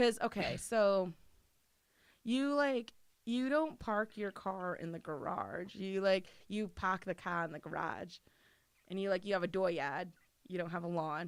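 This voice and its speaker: A woman speaks at a fairly slow pace and medium pitch, with lively intonation and long, frequent pauses, on a very clean recording with a silent background. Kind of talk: casual podcast interview answers.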